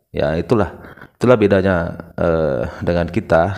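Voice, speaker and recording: Using ordinary pitch variation, a man talks at a moderate pace in a very deep, low pitch. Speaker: reaction video host. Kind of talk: video reaction commentary.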